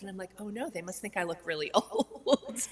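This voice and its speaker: A woman talks at a moderate pace with very wide pitch swings, with noticeable background noise behind her. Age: 60s. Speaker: plant-based cooking teacher and health coach. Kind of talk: casual chat.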